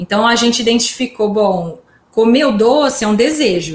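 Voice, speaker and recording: Moderate pace and ordinary pitch variation in a woman's fairly high, somewhat breathy voice. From Brazil, São Carlos. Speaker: podcast host, journalist. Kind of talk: casual chat.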